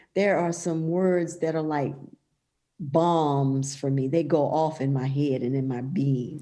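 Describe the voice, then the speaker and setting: A woman's dark, mellow tone with ordinary pitch variation, heard with audible room echo. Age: 50s. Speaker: pastor and author. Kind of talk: casual interview conversation.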